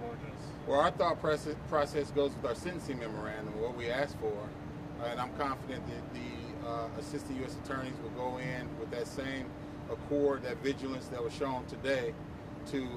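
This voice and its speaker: The sound is dry with no echo as a man speaks at a moderate pace against noticeable background noise. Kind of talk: interview answer. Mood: measured, formal. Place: street.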